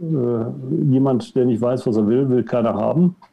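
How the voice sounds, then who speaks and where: Here a man talks at a very slow pace. His tone is dark and mellow. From Germany, Cologne. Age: 60s. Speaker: outplacement coach. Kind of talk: podcast interview.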